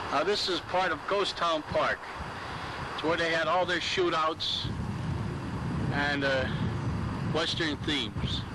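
Long, frequent pauses break up the speech. Loud background noise fills the recording. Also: man. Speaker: park insider giving tour. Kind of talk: casual walking tour commentary. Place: open country. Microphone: old recording.

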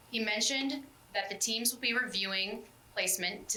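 Audible room echo colors this recording, along with noticeable background noise. The speaker is a woman. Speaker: school board member reporting on parent committee. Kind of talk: committee report at public meeting. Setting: school board meeting. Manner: fast; reading a prepared summary.

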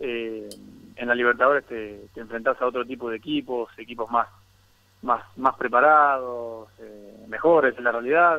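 Loudness swings widely as a man talks with a bright, sharp tone at a medium pitch. His pace is moderate and his intonation fairly even. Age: 30s. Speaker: professional footballer. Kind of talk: interview.

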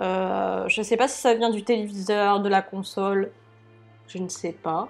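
A woman speaking at a fairly slow pace, with faint music in the background. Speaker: gamer commentator. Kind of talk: casual gameplay commentary. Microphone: lapel.

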